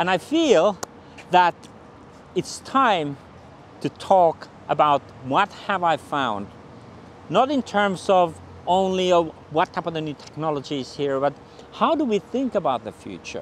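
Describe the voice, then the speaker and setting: In a Finnish accent, a high-pitched man speaks at a fairly slow pace with long, frequent pauses and lively intonation. The sound is dry with no echo, over light background noise. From Finland. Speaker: futurist; presenter. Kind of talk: channel introduction to camera. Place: street. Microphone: lapel.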